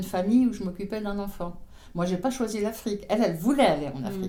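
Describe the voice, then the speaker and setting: At a very fast pace, a woman talks with a medium pitch and a dark, mellow tone. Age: 80s+. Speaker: retired podcast guest. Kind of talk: interview answer. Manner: humorous, passionate.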